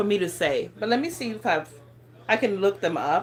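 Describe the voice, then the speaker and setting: A woman with an African accent at a moderate pace. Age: 40s. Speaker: lifestyle vlogger. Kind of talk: casual livestream chat. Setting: livestream. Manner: casual, hesitant with fillers.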